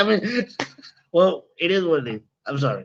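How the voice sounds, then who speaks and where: A man with a Spanish accent speaks at a moderate pace, his pitch swinging very widely. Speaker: podcast co-host. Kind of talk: casual chat. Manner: animated.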